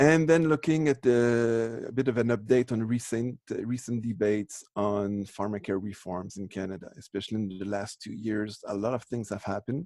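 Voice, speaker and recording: A man with a French accent speaks at a moderate pace in a medium-pitched, dark, mellow tone, his pitch varying in an ordinary way and hardly pausing at all. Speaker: professor. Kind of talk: lecture. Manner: halting, many false starts.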